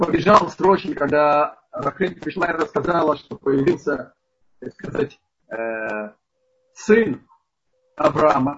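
Very slow speech from a man with a fairly high pitch, lively intonation, big swings in loudness, and long, frequent pauses. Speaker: rabbi teaching a Torah lesson. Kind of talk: lecture. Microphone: poor connection, bad sound.

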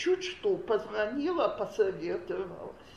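A woman's voice with very wide pitch swings, amid noticeable background noise and audible room echo. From Soviet Union. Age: 60s. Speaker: women's parenting class teacher. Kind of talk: lecture.

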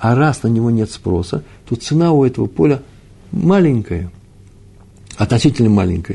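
Medium pitch from a man at a moderate pace. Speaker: Talmud teacher. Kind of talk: lecture. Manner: halting.

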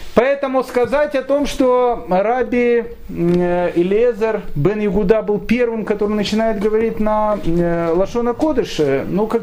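A man speaks at a high pitch with lively intonation. There is noticeable background noise and audible room echo. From Ukraine, Kyiv. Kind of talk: lecture. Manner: hesitant, with frequent fillers.

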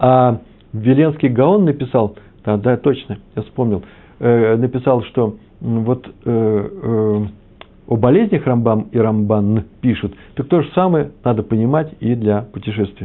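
The speech goes at a very slow pace with ordinary pitch variation. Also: man, medium pitch for a man. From Moscow / Kyiv. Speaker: religious teacher. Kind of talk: lecture. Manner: hesitant, with fillers.

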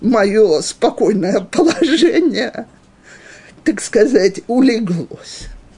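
At a very slow pace, a woman speaks with long, frequent pauses. Her fairly high pitch swings very widely. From Western Ukraine, Ivano-Frankivsk. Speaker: religious teacher for women. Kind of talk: lecture, personal life story. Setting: live class with audience, also streamed on video.

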